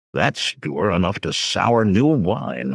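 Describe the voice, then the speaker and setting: A man's put-on character voice, gruff and very deep, with very wide pitch swings and a fairly slow pace. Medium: read story. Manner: grunting, gruff.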